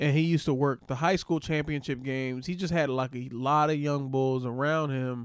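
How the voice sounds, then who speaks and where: In a very clean recording with a silent background, a man with a fairly high pitch speaks at a moderate pace with fairly even intonation and hardly any pauses. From Philadelphia, US. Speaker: comedian. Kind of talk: casual chat.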